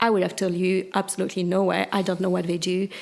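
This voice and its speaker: A woman is talking. She has a French accent. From France. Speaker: chief risk officer. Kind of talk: interview. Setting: live at a conference.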